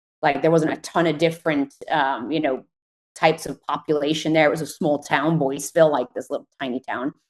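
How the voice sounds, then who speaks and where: The speech comes at a fairly quick pace. Its intonation stays fairly even. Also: woman, very deep, low pitch for a woman. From England. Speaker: mountain bike racer. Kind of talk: interview. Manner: casual with many fillers.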